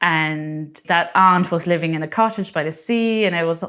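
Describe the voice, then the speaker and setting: With lively intonation and a German accent, a woman speaks in a fairly low voice in a very clean recording with a silent background. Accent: German accent, noticeable. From Germany. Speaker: homeowner. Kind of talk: casual chat. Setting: at home in her living room.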